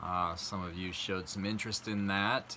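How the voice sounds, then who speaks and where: A man is talking. He is soft-spoken. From South Dakota. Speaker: vlogger. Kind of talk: casual talk to camera. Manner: halting.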